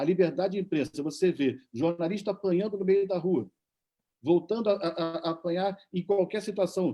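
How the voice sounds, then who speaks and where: High-pitched male speech, with ordinary pitch variation. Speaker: journalist. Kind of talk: panel debate.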